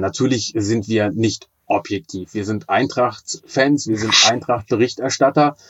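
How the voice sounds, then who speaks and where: With an ordinary speaking voice, a man talks at a fairly slow pace with ordinary pitch variation. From Braunschweig, northern Germany. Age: 40s. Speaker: teacher and blind-radio football commentator. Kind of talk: casual interview.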